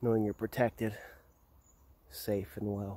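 A man talks softly in a dark, mellow tone. The sound is dry, with no echo. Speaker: hypnotist guiding a meditation. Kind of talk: guided meditation, slow soothing hypnotic delivery. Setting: outdoors on a burial mound in Norway. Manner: slow; soft-spoken. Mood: calm, soothing. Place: open country. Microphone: phone near.

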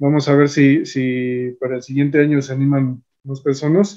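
A man talks with a fairly high pitch. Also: quiet background. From Mexico. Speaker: YouTube host, physicist; YouTube host. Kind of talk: interview. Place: home room. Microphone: video call.

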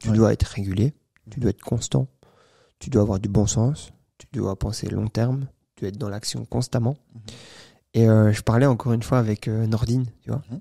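A somewhat breathy man with a dark, mellow tone, big swings in loudness, ordinary pitch variation and a moderate pace, over a quiet background. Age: 20s. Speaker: entrepreneur; podcast guest. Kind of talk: interview. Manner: halting. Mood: calm, relaxed storytelling. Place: studio. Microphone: studio mic.

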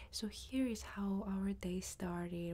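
A woman speaks softly in a dark, mellow tone. Her voice is somewhat breathy. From Greece. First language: Greek. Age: 20s. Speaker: ASMR creator and online Korean teacher. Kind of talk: casual talk to camera, travel vlog. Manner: soft-spoken.

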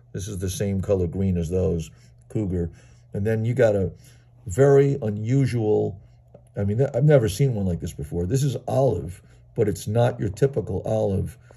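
His voice is fairly low in pitch, with a dark, mellow tone and a somewhat breathy quality. The man speaks at a moderate pace with lively intonation. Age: 60s. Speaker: toy car collector. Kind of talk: video show-and-tell. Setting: at home. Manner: enthusiastic. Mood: enthusiastic, admiring. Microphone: phone near.

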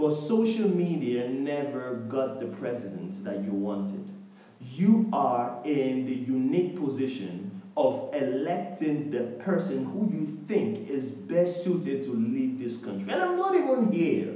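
At a fairly slow pace, a man with a fairly high pitch makes very wide pitch swings, and room echo is audible. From Nigeria. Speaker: YouTuber. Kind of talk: direct-to-camera appeal. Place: home room.

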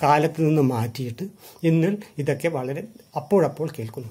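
This man's voice is fairly high-pitched, with a dark, mellow tone, a somewhat breathy quality and ordinary pitch variation. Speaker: retired journalist. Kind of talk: lecture. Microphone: phone near.

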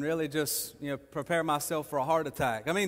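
Here a man is speaking. He keeps a fairly quick pace. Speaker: preacher. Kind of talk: sermon. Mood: humorous, encouraging. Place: church.

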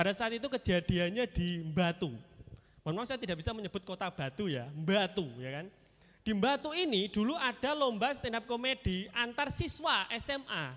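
A man with a high voice speaks in an animated tone, his pitch swinging very widely against a quiet background. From Kediri, East Java, Indonesia; East Java, Indonesia. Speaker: stand-up comedian. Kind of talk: stand-up. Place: stage. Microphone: handheld.

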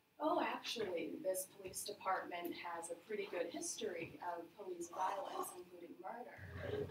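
Loud background noise accompanies speech at a moderate pace with ordinary pitch variation. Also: woman. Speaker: presenter. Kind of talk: lecture. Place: meeting room. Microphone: camera far.

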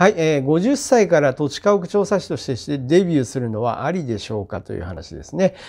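Against a quiet background, a man talks at a fairly quick pace with hardly any pauses, very wide pitch swings and big swings in loudness. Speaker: land and house surveyor giving career advice. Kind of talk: informational monologue to camera. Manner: filler-heavy, hesitant delivery. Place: office. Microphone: lapel.

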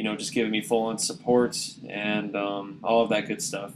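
A fairly low-pitched man at a moderate pace against noticeable background noise. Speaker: YouTube app reviewer. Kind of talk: casual talk to camera. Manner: monotone.

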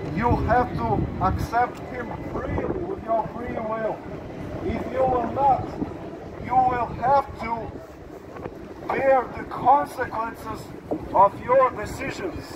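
Over noticeable background noise, a man speaks at a very slow pace. His pitch is extremely high, with ordinary variation. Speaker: street preacher. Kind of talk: street preaching, sermon to passers-by. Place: street. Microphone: camera far.

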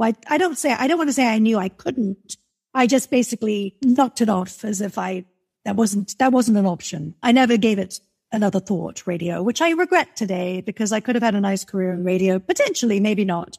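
A woman's fairly high, somewhat breathy voice with an American accent, lively intonation and a fairly quick pace. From England. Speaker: music marketer and publicist. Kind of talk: interview conversation. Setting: video call.

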